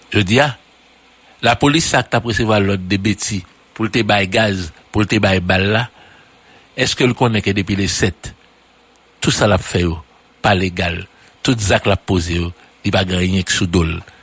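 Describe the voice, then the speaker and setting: With long, frequent pauses, a man talks at a fairly slow pace in a fairly low pitch with ordinary pitch variation. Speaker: political commentator. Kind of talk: radio political commentary.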